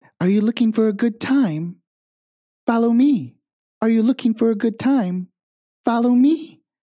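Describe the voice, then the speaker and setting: A put-on character voice, fairly high in pitch, at a moderate pace with long, frequent pauses. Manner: seductive, inviting.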